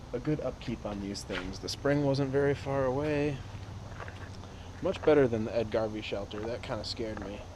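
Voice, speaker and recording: In a space with audible room echo, a man talks at medium pitch and a moderate pace. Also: ordinary pitch variation. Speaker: hiker vlogger. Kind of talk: vlog monologue. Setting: outdoors on a hiking trail. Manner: quiet.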